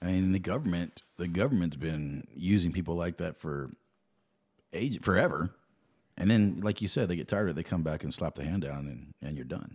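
Talking at a fairly quick pace, a man with an American accent has a very deep, low pitch and vocal fry. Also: ordinary pitch variation. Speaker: podcast co-host. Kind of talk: casual chat. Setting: studio.

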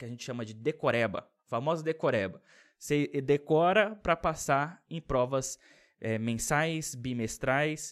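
Lively intonation and big swings in loudness mark this voice with a Brasília accent, captured on a very clean recording against a silent background. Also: man, fairly high pitch for a man, fairly slow pace. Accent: Brazilian Portuguese, Brasília. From Brazil, Brasília. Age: 20s. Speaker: YouTuber. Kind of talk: casual vlog monologue. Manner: casual, filler-heavy.

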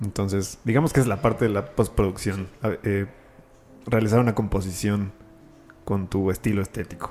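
The speaker has a Mexico City accent and fairly even intonation. Long pauses come often. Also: man, fairly low pitch for a man, moderate pace. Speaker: architect and render artist. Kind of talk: casual chat.

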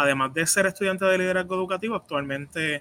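A man speaks at a fairly quick pace. His tone is bright and sharp, and his intonation is fairly even. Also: dry, close sound with no echo. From Puerto Rico. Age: 30s. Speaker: doctoral student and researcher in educational leadership. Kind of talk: interview.

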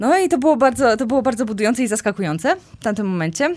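A woman speaks very fast in a fairly high voice. Her pitch swings very widely. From central Poland, Kozienice. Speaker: amputee with a leg prosthesis. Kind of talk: podcast interview. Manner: halting, many fillers and repetitions.

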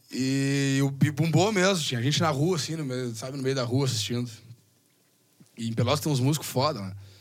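There is audible room echo as a man talks at a moderate pace and fairly high pitch, his pitch varying in an ordinary way. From southern Rio Grande do Sul, Brazil. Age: 30s. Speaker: bass player. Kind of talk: casual chat. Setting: studio. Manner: halting.

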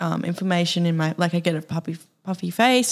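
In an Australian accent, a woman talks at a moderate pace with fairly low pitch and fairly even intonation. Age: 20s. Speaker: podcast co-host. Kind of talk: casual chat.

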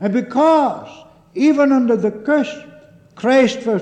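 Amid noticeable background noise, a man speaks at an extremely high pitch. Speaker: preacher. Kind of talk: 1950s sermon, solemn, pulpit exposition of a catechism Lord's Day. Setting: church. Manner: earnest, deliberate, fervent, formal; emphatic, with repeated address to the congregation as 'beloved'.

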